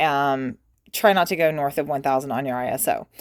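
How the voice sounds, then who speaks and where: In a very clean recording, a woman's voice comes through over a silent background. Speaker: photography teacher. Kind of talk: tutorial. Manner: casual, hesitant with many ums.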